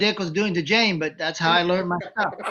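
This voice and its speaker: A man speaks in a raised, projected voice with a bright, sharp tone and fairly even intonation. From Japan, Tokyo. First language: Japanese. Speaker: former wrestling manager. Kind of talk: interview. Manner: halting.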